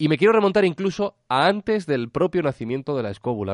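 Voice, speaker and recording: The voice moves at a fairly quick pace with very wide pitch swings against a quiet background. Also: man, dry, close sound with no echo. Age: 30s. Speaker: podcaster. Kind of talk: interview. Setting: Skype call.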